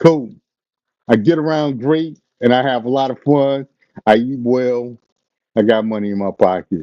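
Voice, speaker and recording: A moderate pace with ordinary pitch variation and long, frequent pauses. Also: man, medium pitch for a man. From Chicago, US Midwest. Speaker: live-stream commentator, retired police officer. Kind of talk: casual live-stream chat.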